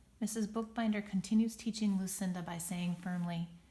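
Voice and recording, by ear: The passage is read aloud in a natural voice.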